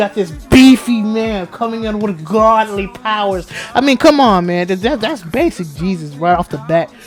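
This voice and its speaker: The speech has an animated tone at a moderate pace with hardly any pauses. Music plays in the background. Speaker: gaming YouTuber. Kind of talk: casual commentary vlog.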